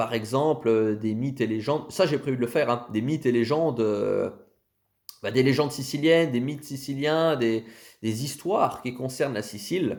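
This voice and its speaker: A man's plain, everyday voice at medium pitch with ordinary pitch variation. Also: moderate pace. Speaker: content creator on Sicilian history. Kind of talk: casual channel presentation to camera. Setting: self-filmed video.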